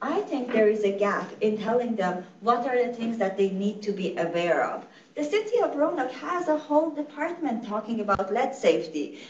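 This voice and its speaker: Over noticeable background noise and audible room echo, a woman talks at a moderate pace with hardly any pauses, her fairly high voice making very wide pitch swings. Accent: Iranian. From Iran. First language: Farsi. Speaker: nonprofit executive director. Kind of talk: lecture. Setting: conference room with in-person and online audience.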